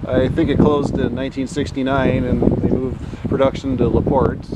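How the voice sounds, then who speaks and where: The background noise is loud. The sound is dry, with no echo. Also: man. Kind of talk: casual commentary. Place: street. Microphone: phone near.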